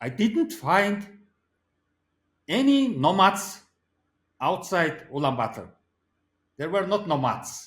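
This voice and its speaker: Pitched high with very wide swings, a man speaks with a Mongolian accent. His pace is very slow, with long, frequent pauses. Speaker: philosopher. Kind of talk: interview. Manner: halting.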